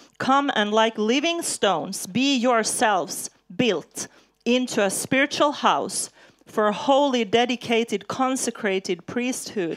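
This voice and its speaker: A woman with a normal speaking voice and fairly high pitch, at a fairly slow pace with ordinary pitch variation. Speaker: preacher. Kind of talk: sermon. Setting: church with live interpreter.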